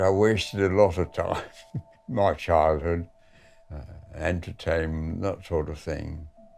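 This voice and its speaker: Over music in the background, a man with a very deep, low pitch speaks at a fairly slow pace with fairly even intonation. His loudness swings widely, and he takes long, frequent pauses. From Manchester, England. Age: 80s+. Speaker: war veteran. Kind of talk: interview answer.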